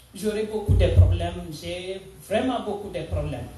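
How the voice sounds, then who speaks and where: Lively intonation comes through with a Senegalese accent, along with audible room echo and noticeable background noise. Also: woman. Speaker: church member. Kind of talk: testimony. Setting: church. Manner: halting, with hesitations.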